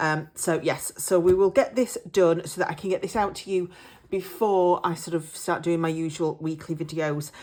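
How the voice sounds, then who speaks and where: In an English accent, a woman speaks at a moderate pace with a fairly low pitch and fairly even intonation. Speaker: budgeting vlogger. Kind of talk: casual vlog chat. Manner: hesitant, many fillers.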